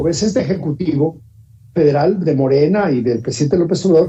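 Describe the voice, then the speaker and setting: Speaking at a fairly quick pace, a man with a plain, everyday voice sits fairly high in pitch and shows ordinary pitch variation. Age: 60s. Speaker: politician. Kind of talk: panel discussion.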